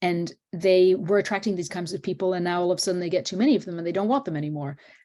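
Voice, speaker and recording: Her dark, mellow tone carries fairly even intonation as the woman speaks. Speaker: professor and sustainable tourism expert. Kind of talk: webinar talk and Q&A. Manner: fast.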